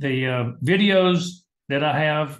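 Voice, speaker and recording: A man speaks at a very slow pace with a Southern US accent. His pitch is fairly high. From US South, Georgia. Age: 70s. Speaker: medical doctor and business leader. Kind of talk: interview.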